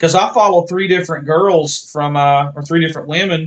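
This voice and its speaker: An Appalachian accent at a moderate pace. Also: man. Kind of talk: casual chat. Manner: animated.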